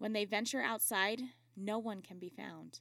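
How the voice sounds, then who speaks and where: A woman talks at a moderate pace, her pitch medium. It is an ordinary speaking voice. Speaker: storyteller podcast host. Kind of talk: scripted ghost story narration, hushed and spooky storytelling. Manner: formal, measured narrator.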